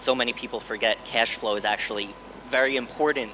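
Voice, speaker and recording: Against noticeable background noise, a man talks at a fairly quick pace in a New York accent. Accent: American, New York. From New York, US. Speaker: hedge fund co-founder. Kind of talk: conference panel talk. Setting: stage with audience.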